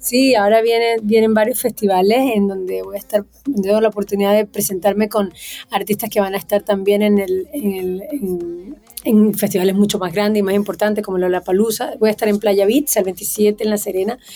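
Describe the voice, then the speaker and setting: Medium pitch, a dark and mellow tone, and fairly even intonation from a woman speaker. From Venezuela. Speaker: singer-songwriter. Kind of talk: interview.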